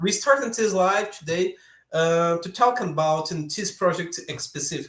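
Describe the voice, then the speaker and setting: A man with a high pitch talks at a moderate pace, using ordinary pitch variation. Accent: Brazilian Portuguese. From Brazil, São Paulo area. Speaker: software developer, YouTuber. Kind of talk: live coding stream. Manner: halting.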